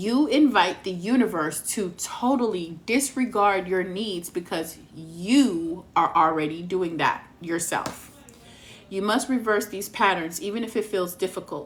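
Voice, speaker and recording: A woman speaks with an American accent. Her medium-pitched voice shows ordinary pitch variation. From Texas. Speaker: tarot reader. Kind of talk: live stream reading. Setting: live stream.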